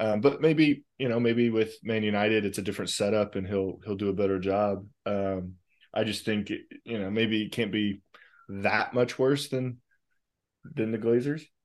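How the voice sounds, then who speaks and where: An ordinary speaking voice from a man with an American accent, fairly low in pitch, at a moderate pace with ordinary pitch variation and a quiet background. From USA. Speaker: football podcast co-host. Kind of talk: casual chat.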